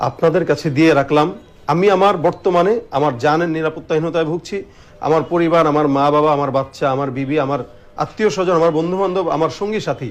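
Ordinary pitch variation shapes a man's voice that sits at a fairly high pitch. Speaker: Islamic preacher and gazal singer. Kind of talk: testimony.

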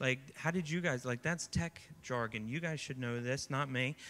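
A man speaks in a bright, sharp tone with ordinary pitch variation. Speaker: youth pastor. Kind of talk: sermon. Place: stage. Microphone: handheld.

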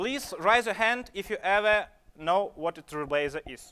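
A man speaks at a high pitch with a bright, sharp tone and lively intonation. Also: moderate pace.

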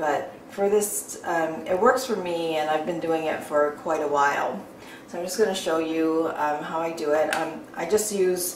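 A woman speaks at a moderate pace in a fairly low pitch. Room echo is audible, with light background noise. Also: ordinary pitch variation. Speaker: beauty vlogger. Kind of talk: tutorial. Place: bathroom.

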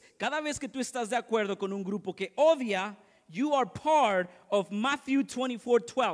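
A man's high-pitched voice with lively intonation at a fairly slow pace, against a quiet background. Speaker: pastor. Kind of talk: fervent bilingual sermon, lines echoed in English and Spanish. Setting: church. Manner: punctuates lines with repeated amens, calling for congregation response. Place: church.

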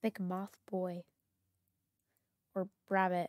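A woman talks at a very slow pace. The sound is dry and close, with no echo at all. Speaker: gaming YouTuber. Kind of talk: gameplay commentary. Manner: reads game dialogue aloud.

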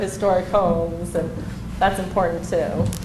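A woman's medium-pitched voice with ordinary pitch variation, a moderate pace and noticeable background noise. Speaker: architectural designer. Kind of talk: public meeting presentation. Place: meeting room. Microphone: camera far.

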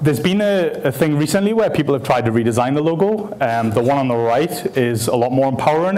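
Very fast talk from a man, pitch varying in an ordinary way. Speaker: speaker. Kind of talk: conference talk. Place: hall.

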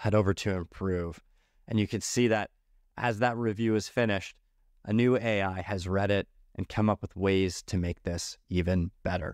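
A man uses a normal speaking voice at a fairly low pitch and moderate pace, with fairly even intonation. The background is quiet and the sound dry, with no echo. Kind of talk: product demo narration.

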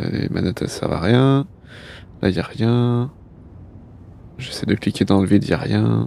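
The voice has a dark, mellow tone and ordinary pitch variation, moving at a fairly slow pace with long, frequent pauses. The sound is dry with no echo, over light background noise. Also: man, fairly low pitch for a man. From France. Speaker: gaming streamer. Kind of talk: casual live gameplay stream. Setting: live stream, studio.

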